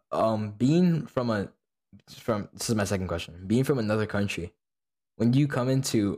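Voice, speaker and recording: A man talks in an unremarkable speaking voice with ordinary pitch variation. The recording is very clean, with a silent background. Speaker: student podcast host. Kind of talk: casual chat.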